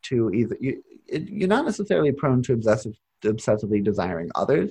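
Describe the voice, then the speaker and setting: A man with a medium-pitched, somewhat breathy voice and a dark, mellow tone speaks at a moderate pace. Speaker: astrology podcast host and tarot reader. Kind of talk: casual podcast conversation. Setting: recording in person with Nate, Margaret joins remotely.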